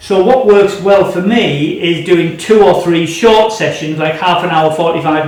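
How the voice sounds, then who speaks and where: In a British accent, a man with a high pitch talks at a moderate pace, with audible room echo and noticeable background noise. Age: 60s. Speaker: amateur saxophonist, shop customer. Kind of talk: testimonial talk to camera. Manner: hesitant, many fillers.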